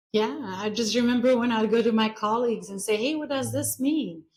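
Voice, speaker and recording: Someone with an Albanian accent talks at a fairly quick pace with ordinary pitch variation. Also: woman. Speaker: real estate business owner. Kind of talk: interview answer.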